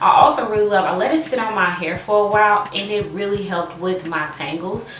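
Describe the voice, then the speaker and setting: A woman at a moderate pace and medium pitch, with audible room echo and noticeable background noise. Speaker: beauty vlogger. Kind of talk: product review tutorial. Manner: casual, halting with fillers.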